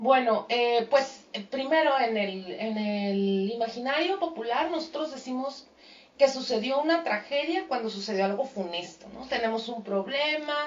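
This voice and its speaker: Someone speaks at a fairly slow pace with lively intonation and big swings in loudness, over noticeable background noise. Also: woman, high pitch for a woman. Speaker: radio host. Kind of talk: radio talk show.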